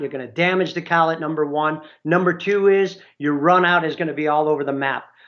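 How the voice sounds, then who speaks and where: A man with a plain, everyday voice speaks at a fairly high pitch with fairly even intonation and hardly any pauses. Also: fairly quick pace. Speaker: application engineer presenting a webinar. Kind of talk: webinar presentation. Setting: online webinar.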